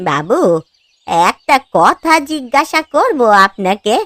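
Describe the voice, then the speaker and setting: In a cartoonish character voice, a woman speaks very slowly in a high pitch with very wide pitch swings, the sound dry and close with no echo. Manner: deferential, soft.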